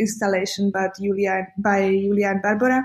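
Music in the background accompanies a woman with a Slovak accent speaking at a moderate pace. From Slovakia. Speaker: curator and graphic designer. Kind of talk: interview.

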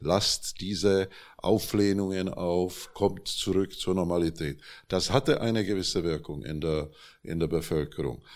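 A man with a Czech accent speaks at a fairly slow pace in a very deep, low pitch with ordinary pitch variation. The recording is very clean, with a silent background. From Czechoslovakia (Prague). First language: Czech (speaking German). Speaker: journalist and publisher. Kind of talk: panel discussion. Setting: stage with audience.

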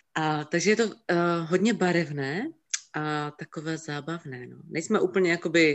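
A woman speaks in a Silesian accent at a moderate pace. Her pitch varies in an ordinary way. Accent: Silesian Czech, short vowels. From Czech Silesia, Opava. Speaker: photography assistant and singer. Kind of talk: casual interview.

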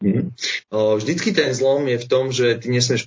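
A man's voice comes through somewhat breathy. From Slovakia, Bratislava. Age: 20s. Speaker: travelling chef. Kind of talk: interview. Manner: hesitant, many fillers.

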